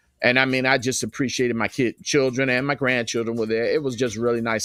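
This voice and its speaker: Music plays behind a man speaking at a medium pitch with fairly even intonation, recorded with a dry, close sound with no echo. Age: 60s. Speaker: livestream host and radio station owner. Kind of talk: casual live stream monologue. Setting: live stream with background music.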